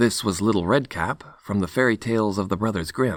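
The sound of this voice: The delivery is an unforced reading voice. Pitch variation is ordinary.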